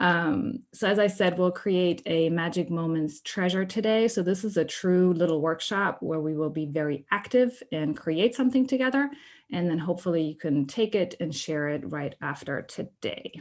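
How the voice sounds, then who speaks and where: A woman with a German accent speaks with lively intonation at a fairly low pitch. The background is quiet. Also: moderate pace. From Germany. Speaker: workshop presenter. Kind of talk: online workshop presentation.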